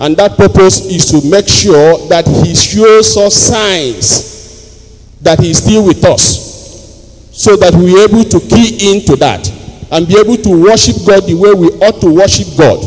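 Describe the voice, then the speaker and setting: Ordinary pitch variation in a Nigerian accent. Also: man, high pitch for a man, hardly any pauses. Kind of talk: homily. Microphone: handheld.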